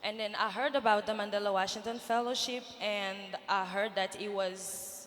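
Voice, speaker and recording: A woman at medium pitch and moderate pace, fairly even in intonation, with audible room echo and noticeable background noise. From Niger. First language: French. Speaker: nonprofit founder, fellowship alumna. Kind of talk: panel interview on stage. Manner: hesitant, many fillers.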